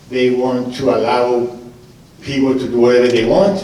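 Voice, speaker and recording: A man talks at a moderate pace, with audible room echo and noticeable background noise. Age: 60s. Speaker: mayoral candidate, restaurant owner. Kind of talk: political forum answer. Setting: stage with audience, live radio broadcast.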